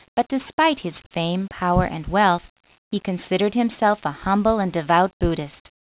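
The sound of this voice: Against a quiet background comes an unforced reading voice with ordinary pitch variation.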